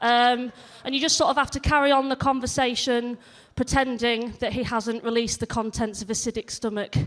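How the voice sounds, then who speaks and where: A woman speaks with a slight northern English accent. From northern England, near Leeds. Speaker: stand-up comedian. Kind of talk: stand-up. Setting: stage with audience. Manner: animated.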